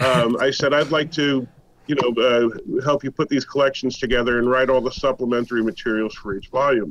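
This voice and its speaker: A man's normal speaking voice at a fairly quick pace with fairly even intonation. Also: medium pitch for a man. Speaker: comics historian and writer. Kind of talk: interview.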